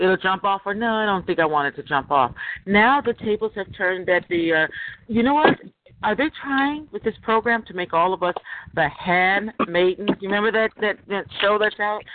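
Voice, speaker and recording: Speaking at a moderate pace and a medium pitch, a woman with an unremarkable speaking voice uses lively intonation. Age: 50s. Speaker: moderator of a call-in roundtable for people who believe they are targeted. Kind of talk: moderated call-in group discussion. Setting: phone conference call.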